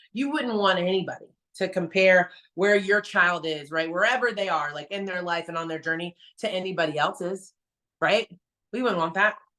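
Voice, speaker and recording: Her tone animated, bright and sharp, a woman speaks at medium pitch with ordinary pitch variation. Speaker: fitness trainer. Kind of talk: motivational talk. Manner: fast.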